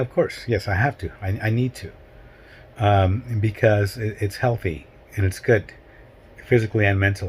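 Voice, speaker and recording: Somewhat breathy and fairly low in pitch, a man speaks at a moderate pace with fairly even intonation. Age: 60s. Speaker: hiking vlogger. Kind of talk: casual vlog monologue. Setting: at home. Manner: halting.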